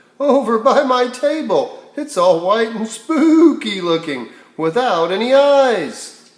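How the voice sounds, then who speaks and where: Putting on a character voice, a man talks fairly slowly with lively intonation at an extremely high pitch. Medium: read story. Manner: prim, disapproving.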